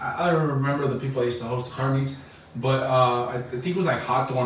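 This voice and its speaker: Very fast speech with an American accent, plus noticeable background noise and audible room echo. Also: man. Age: 20s. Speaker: podcast host. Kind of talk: casual chat.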